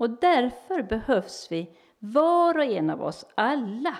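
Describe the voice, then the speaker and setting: Very slowly, a woman speaks with very wide pitch swings. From Sweden, Helsingborg (Skåne). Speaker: church speaker and small publisher. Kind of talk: talk to a church group.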